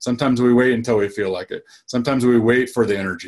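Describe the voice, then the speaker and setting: Talking at a fairly quick pace, a man uses an ordinary speaking voice. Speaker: dentist and practice coach. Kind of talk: webinar-style talk.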